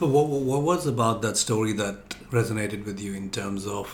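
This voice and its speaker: At a moderate pace, a man speaks in a fairly low pitch with ordinary pitch variation over noticeable background noise. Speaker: podcast host. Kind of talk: interview.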